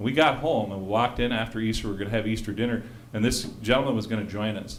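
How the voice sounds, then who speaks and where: An animated man of medium pitch, with audible room echo. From South Dakota. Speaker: ballot measure campaigner. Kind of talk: campaign speech. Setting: public forum with audience.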